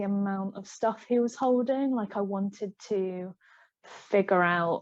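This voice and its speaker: Speaking very slowly, a woman with an English accent keeps a medium pitch. Her intonation is fairly even against a quiet background. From England. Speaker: digital artist. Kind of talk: casual chat. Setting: live stream.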